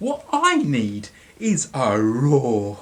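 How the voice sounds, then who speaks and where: The put-on character voice sits at a low-to-middle pitch. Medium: read story. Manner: timid, polite.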